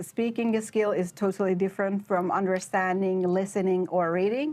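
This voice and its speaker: A woman speaks with a Persian accent at a moderate pace. Her pitch sits in the medium range. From Iran, Shiraz. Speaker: PhD researcher. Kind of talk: interview. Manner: hesitant, many fillers.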